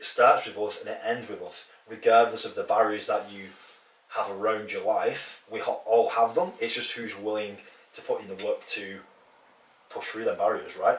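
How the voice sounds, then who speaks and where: A man speaks at a moderate pace with big swings in loudness, over noticeable background noise. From northern England. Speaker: fitness coach and podcast co-host. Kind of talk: casual podcast chat.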